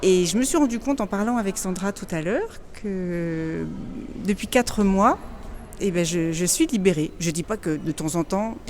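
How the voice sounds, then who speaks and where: Amid noticeable background noise, a woman talks at a fairly slow pace with lively intonation and long, frequent pauses. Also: medium pitch for a woman. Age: 50s. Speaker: program client sharing testimony. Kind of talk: testimony interview. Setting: in person, Madrid. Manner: halting, stammering.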